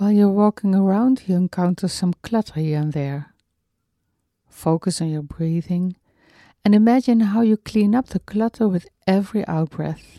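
A woman's medium-pitched voice, dark and mellow, calm and soothing, with ordinary pitch variation, in a very clean recording with a silent background and a dry, close sound free of echo. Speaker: meditation teacher. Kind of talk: guided meditation. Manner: slow, calm, soothing, gently paced with long pauses; soft-spoken, tender.

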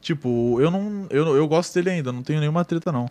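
A man talks at a fairly quick pace with a slight gaúcho accent. His pitch variation is ordinary. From Rio Grande do Sul, Brazil. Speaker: online game roleplayer. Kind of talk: casual chat.

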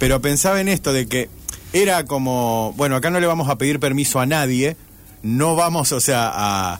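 A man's ordinary speaking voice, medium in pitch, with lively intonation, very even loudness and a moderate pace. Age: 40s. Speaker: radio host. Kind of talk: casual chat. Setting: radio studio.

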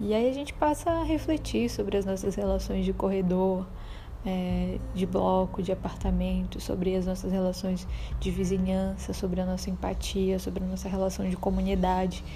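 Noticeable background noise and audible room echo accompany a woman who talks at a moderate pace. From Belém, Pará, northern Brazil. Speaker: podcast host, visual artist and educator. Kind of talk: book review monologue.

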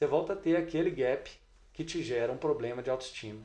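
With audible room echo, a man speaks fairly quickly in a dark, mellow tone marked by vocal fry and ordinary pitch variation. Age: 40s. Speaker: triathlon coach and exercise physiologist. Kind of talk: casual interview chat.

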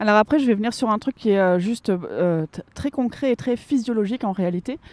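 A woman speaks at a fairly quick pace in a fairly high pitch, her tone dark and mellow. The sound is dry and close, with no echo. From northern France, Lille. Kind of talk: interview. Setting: outdoors.

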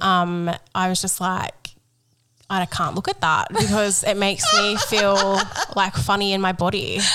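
With an Australian accent, a woman speaks at a moderate pace in a flat monotone, leaving long, frequent pauses. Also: medium pitch for a woman. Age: 30s. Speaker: podcast co-host. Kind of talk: casual chat; segment presenting.

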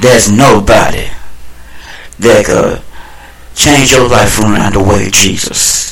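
A man talks at a very slow pace, with long, frequent pauses and very even loudness. Noticeable background noise and audible room echo are present. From Texas, Dallas. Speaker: preacher and broadcast host. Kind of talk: preaching broadcast. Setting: home room. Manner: animated; repetitive exclamations.

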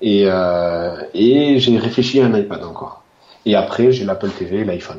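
A man speaks at a fairly slow pace with a fairly low pitch, a dark, mellow tone and ordinary pitch variation. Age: 30s. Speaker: tech enthusiast. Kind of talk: casual interview. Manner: halting, many repetitions.

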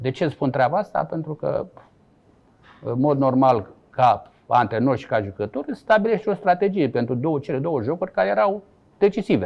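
Speech comes at a moderate pace. Its pitch rises and falls across a very wide range. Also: man, fairly high pitch for a man. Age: 60s. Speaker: former footballer and coach. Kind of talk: interview. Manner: halting.

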